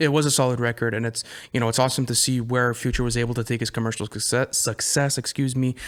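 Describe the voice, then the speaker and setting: At a very fast pace, a man talks in a medium-pitched, monotone, flat voice. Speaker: hip hop podcast co-host. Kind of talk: casual chat. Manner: halting, stumbles over words.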